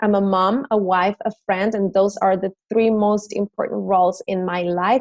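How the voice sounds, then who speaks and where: A woman with a Mexican accent talks at a moderate pace and medium pitch with fairly even intonation, in a dry, close sound with no echo. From Mexico City. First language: Spanish. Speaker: fitness trainer and business owner. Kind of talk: recorded presentation.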